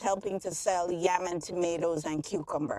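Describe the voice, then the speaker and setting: This woman speaks in a strong Jamaican accent with an animated tone. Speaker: public health doctor, channel host. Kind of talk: casual educational vlog. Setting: outdoors near construction site.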